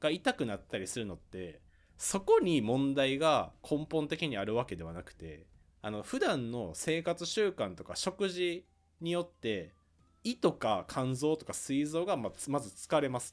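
The recording is very clean with a silent background. A man with a fairly high pitch talks at a moderate pace, his pitch swinging very widely. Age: 20s. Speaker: podcast host, office worker. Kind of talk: casual chat.

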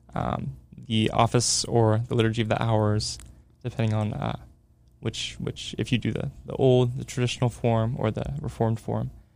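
Using a normal speaking voice, the man keeps a medium pitch, a moderate speed and ordinary pitch variation. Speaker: theology student, sacred music enthusiast. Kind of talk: casual interview chat. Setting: studio.

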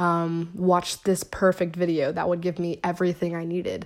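Her pitch is fairly low, and the woman has an American accent. The tone is slightly mellow.

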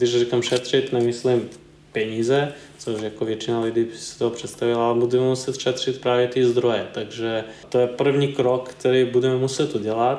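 A man with a Serbian accent speaks at a moderate pace in a medium pitch. His intonation is monotone and flat. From eastern Serbia. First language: Serbian (speaking Czech). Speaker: environmental consultant. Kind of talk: interview. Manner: halting.

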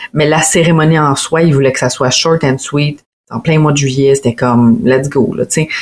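A woman's voice with a very deep, low pitch carries fairly even intonation. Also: moderate pace. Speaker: wedding photographer and videographer. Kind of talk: casual chat.

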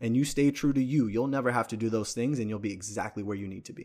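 This very clean recording has a silent background. A man speaks at a medium pitch with ordinary pitch variation. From New York City, the Bronx. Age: 20s. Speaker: fitness sales manager. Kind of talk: casual chat.

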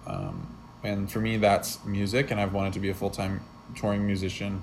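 This is an ordinary speaking voice. It moves at a moderate pace. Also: man. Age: 20s. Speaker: podcast co-host and aspiring musician. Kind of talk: casual chat. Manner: frequent filler words.

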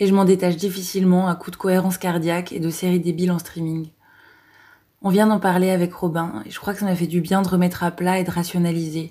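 Very fast speech comes from a woman with a fairly low pitch and a dark, mellow tone. Her intonation is monotone and flat. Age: 30s. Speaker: clinical psychologist. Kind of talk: audio diary. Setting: hospital. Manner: halting.

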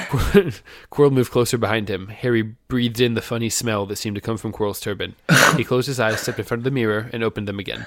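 Reading aloud in a natural voice, unhurried in delivery.

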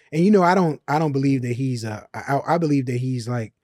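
In a very clean recording with a silent background, a man with an American accent and a dark, mellow tone speaks at medium pitch with ordinary pitch variation, his sound dry and close with no echo. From Chicago, US Midwest. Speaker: truck driver. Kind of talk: panel discussion.

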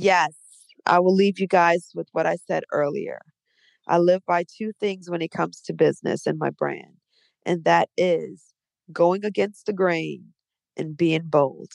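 At a fairly slow pace, a woman with an American accent speaks in a dry, close recording with no echo. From New Orleans, US South. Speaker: DJ. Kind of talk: casual interview. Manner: animated.

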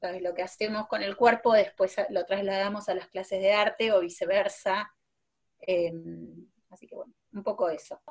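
A woman's ordinary speaking voice, medium in pitch, at a moderate pace. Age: 40s. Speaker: preschool teacher. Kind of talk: casual interview chat.

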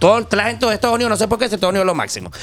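Speaking very fast in a high voice, a man with a Venezuelan accent sounds animated, with ordinary pitch variation and noticeable background noise. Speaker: journalist and human rights activist. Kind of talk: casual chat.

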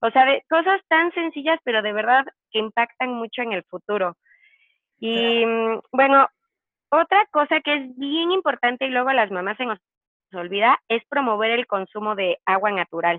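Her voice is pitched high. She uses lively intonation. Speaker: nutritionist. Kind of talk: casual interview. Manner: fast.

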